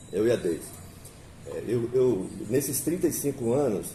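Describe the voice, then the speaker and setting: His intonation is lively. The man's pitch sits in the medium range. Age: 60s. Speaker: interviewer. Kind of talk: interview. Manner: halting, with many fillers.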